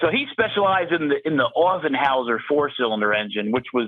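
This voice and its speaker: In an American accent, a man speaks at a fairly quick pace with lively intonation. His pitch is fairly high, in an unremarkable speaking voice. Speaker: engine builder, shop owner. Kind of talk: interview.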